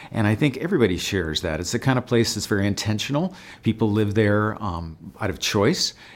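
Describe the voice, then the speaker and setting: A man with an American accent talks at a fairly quick pace in an unremarkable speaking voice, his pitch fairly low and his intonation lively. The recording is very clean, with a silent background. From Santa Barbara County, California. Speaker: state legislator. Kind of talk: interview monologue.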